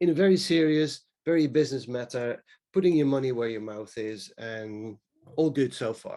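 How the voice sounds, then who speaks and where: A man speaks at a medium pitch and a moderate pace, with a dark, mellow tone. His intonation is lively, with big swings in loudness. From Netherlands. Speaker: space communication speaker. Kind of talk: webinar presentation. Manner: hesitant, many fillers.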